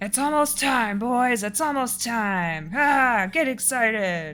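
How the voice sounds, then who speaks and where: Using a put-on character voice, a woman speaks fairly slowly at a fairly high pitch. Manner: excited, hyping up.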